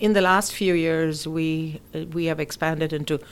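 In a very clean recording with a silent background, a woman talks at a fairly slow pace with a very deep, low pitch and fairly even intonation. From India. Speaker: immigration and estate planning attorney. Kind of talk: interview.

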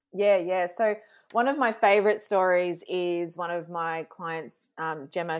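A fairly low-pitched woman in an Australian accent, moderate in pace with ordinary pitch variation, on a very clean recording with a silent background. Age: 40s. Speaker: social media strategist and sales coach. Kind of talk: casual interview chat. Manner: animated.

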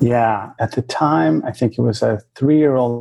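Here is an ordinary speaking voice: a man with a medium pitch and an American accent, talking at a fairly slow pace. The sound is dry and close, with no echo. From US West Coast, Bay Area of California. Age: 50s. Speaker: talent consultancy founder. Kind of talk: interview.

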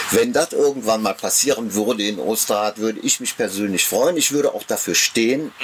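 A man speaks at a fairly quick pace with hardly any pauses, over noticeable background noise. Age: 60s. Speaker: amateur theatre director and marksmen's club member. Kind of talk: casual interview. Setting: outdoors in a garden.

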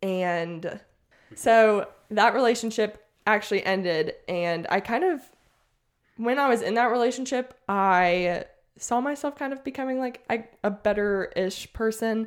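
With an American accent, a woman speaks fairly slowly in a plain, everyday voice, fairly high in pitch with ordinary variation, on a very clean recording with a silent background. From US South, Mississippi. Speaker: teacher and podcaster. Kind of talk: testimony.

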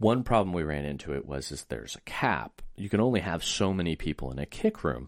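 A man speaks at a fairly quick pace in a very deep, low voice with vocal fry, very wide pitch swings and big swings in loudness, on a very clean recording with a silent background. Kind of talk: casual chat, informational.

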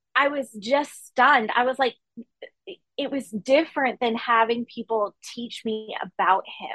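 A woman with a high pitch and a bright, sharp tone speaks at a fairly slow pace with ordinary pitch variation. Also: dry, close sound with no echo. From Maine. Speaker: author and teacher. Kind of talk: interview.

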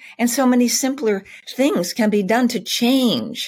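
This woman talks at a fairly slow pace. Vocal fry runs through her voice. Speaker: community founder. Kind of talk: casual interview chat.

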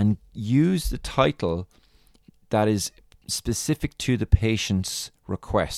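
This man speaks with an Irish accent and ordinary pitch variation. The recording is very clean with a silent background, dry and close with no echo. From Ireland. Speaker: podiatrist and business mentor. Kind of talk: solo podcast monologue, tutorial. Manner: informal, filler words, explanatory.

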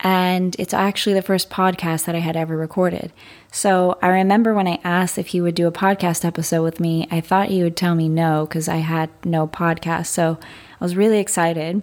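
Her voice is fairly low, and this woman speaks in a monotone with flat intonation. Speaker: podcast host. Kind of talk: podcast intro.

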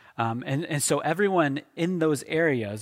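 A man with a fairly high pitch and an American accent talks at a moderate pace with lively intonation, in a dry, close sound with no echo. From Oklahoma. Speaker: pastor. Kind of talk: sermon. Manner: halting, frequent fillers and restarts.

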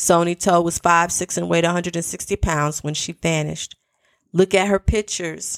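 A woman speaks at a fairly low pitch with fairly even intonation, in an ordinary speaking voice. The recording is very clean, with a silent background and a dry, close sound with no echo. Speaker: podcast host. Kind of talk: true-crime narration, read aloud from news reports in a steady, solemn storytelling tone. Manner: earnest, deliberate, with emotional asides.

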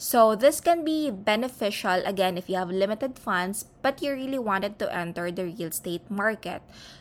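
In a Filipino accent, a woman speaks at a moderate pace and medium pitch, with lively intonation and hardly any pauses, on a very clean recording with a silent background. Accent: Filipino English, Taglish code-switching. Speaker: podcast host. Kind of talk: informational monologue.

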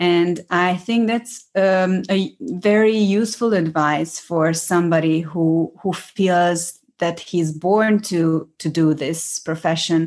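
Against a quiet background, a woman speaks very slowly at a fairly low pitch with ordinary pitch variation and hardly any pauses. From Hungary, small village. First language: Hungarian. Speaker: actress and acting coach. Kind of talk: interview. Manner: halting.

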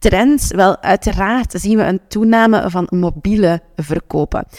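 A woman at a medium pitch speaks with lively intonation, recorded dry and close with no echo. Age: 30s. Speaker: podcast host and business coach. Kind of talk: solo podcast tips talk. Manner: animated.

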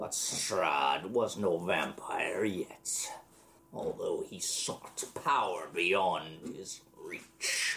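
A very slow, raspy put-on character voice from a man. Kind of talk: formal archaic speech. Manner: cold, menacing, archaic.

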